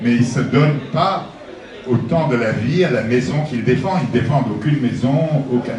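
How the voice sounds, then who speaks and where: Over noticeable background noise and audible room echo, a man with a medium pitch speaks at a fairly slow pace with ordinary pitch variation. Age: 80s+. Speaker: author presenting his book. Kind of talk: book talk to an audience. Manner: halting.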